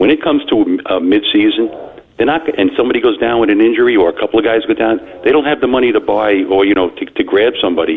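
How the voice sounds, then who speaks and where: Someone with a Long Island accent speaks very fast at a very even loudness over noticeable background noise. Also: man. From Long Island, New York. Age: 60s. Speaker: caller. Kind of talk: sports talk call-in. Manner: halting, many fillers.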